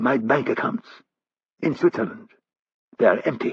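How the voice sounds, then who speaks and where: Using a put-on character voice, a man speaks at a moderate pace in a raspy, high pitch. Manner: furtive, worried.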